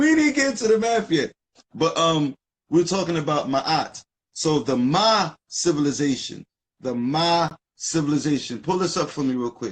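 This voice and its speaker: A man with an American accent speaks at a moderate pace. His voice is fairly high, with lively intonation. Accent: Philadelphia accent, people notice it. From US, North Philadelphia. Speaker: live stream co-host, esoteric teacher. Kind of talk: casual live stream discussion. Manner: animated.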